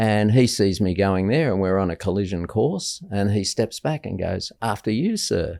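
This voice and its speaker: On a very clean recording with a silent background, a man with an Australian accent speaks at a moderate pace in a fairly low pitch, his tone dark and mellow with ordinary pitch variation. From Australia, Sydney. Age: 60s. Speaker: guest speaker on mental health. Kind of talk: casual chat. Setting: stage with audience.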